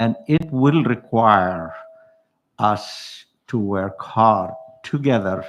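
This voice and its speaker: This man's voice sits at a medium pitch as he talks at a very slow pace. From Palestine (West Bank). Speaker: Palestinian activist on a panel. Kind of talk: panel discussion.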